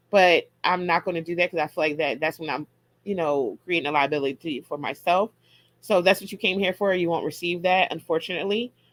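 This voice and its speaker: A woman's fairly low voice at a fairly quick pace, with ordinary pitch variation and a dry, close sound with no echo. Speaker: herbalist hosting a live audio room. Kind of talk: casual educational talk with Q and A. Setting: live online audio room. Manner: fast.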